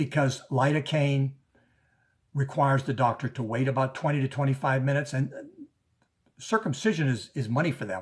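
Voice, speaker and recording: A somewhat breathy male voice of medium pitch, at a moderate pace with ordinary pitch variation. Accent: American. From US South, New Orleans. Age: 70s. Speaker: activist. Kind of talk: conference speech. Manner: halting, many repeats.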